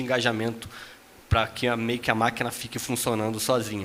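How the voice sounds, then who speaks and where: A man with a slight Rio de Janeiro accent over noticeable background noise. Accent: faint carioca. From Brazil, Rio de Janeiro. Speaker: tech company executive, panelist. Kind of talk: panel discussion.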